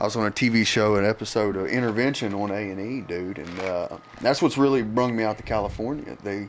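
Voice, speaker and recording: The speaker has a West Virginia accent. Delivery comes at a moderate pace with ordinary pitch variation. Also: man. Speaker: chemical dependency counselor. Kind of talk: casual chat.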